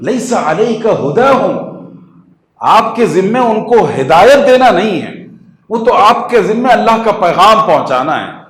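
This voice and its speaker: This man speaks in a high pitch with lively intonation. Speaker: Islamic scholar and inspirational speaker. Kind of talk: religious lecture / sermon to an audience. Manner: earnest, didactic, mixes English terms into Urdu.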